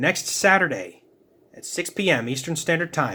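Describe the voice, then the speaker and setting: A man's voice with vocal fry and lively intonation at a moderate pace, on a very clean recording with a silent background. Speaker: sculpting youtuber. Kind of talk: casual video outro. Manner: halting, stuttering.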